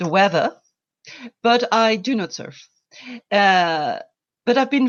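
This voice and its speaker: A woman with a French accent speaks with lively intonation. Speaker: environmental volunteer. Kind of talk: interview.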